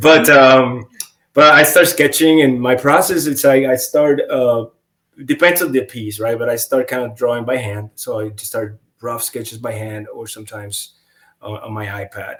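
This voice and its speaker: A man with a non-native accent and big swings in loudness. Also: medium pitch for a man, ordinary pitch variation, moderate pace. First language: not English. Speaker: comic book artist. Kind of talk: casual interview chat. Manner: halting, many fillers and restarts.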